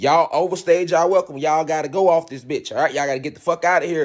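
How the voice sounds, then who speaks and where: A man is talking. He has a high pitch. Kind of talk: monologue. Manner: fast.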